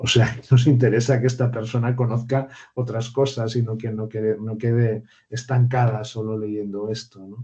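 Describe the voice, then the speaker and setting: With a dark, mellow, somewhat breathy tone at medium pitch, a man speaks at a moderate pace in a monotone, flat intonation. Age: 60s. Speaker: university lecturer. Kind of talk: online seminar discussion. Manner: hesitant, with many repetitions and fillers.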